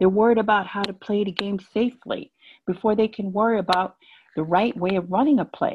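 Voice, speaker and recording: A woman talks at a fairly quick pace in a somewhat breathy voice with ordinary pitch variation over light background noise. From Jamaican American. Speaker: business consultant; conference speaker. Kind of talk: conference talk. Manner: halting. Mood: earnest, persuasive. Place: home room. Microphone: earbuds.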